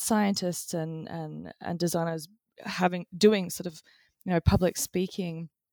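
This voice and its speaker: Speaking with an Australian accent, a woman uses a medium pitch and fairly even intonation at a moderate pace. The sound is dry and close, with no echo. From Australia, Brisbane. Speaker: designer and author. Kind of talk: interview conversation. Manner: halting, many fillers.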